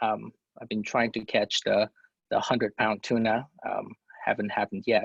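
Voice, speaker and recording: Male voice with vocal fry, moderate pace, and a dry, close sound with no echo. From non-US country, moved to US at 17. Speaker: college counselor. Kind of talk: webinar presentation. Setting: online webinar. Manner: hesitant, many fillers.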